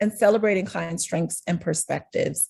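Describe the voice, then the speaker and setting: A woman's fairly even voice with vocal fry, in an American accent. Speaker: speech-language pathologist. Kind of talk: presentation to a professional group.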